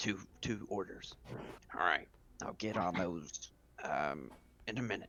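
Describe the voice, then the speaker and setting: Putting on a character voice, a man speaks with a raspy, very deep, low pitch at a moderate pace, using ordinary pitch variation and long, frequent pauses. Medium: actual play. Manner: gruff, matter-of-fact.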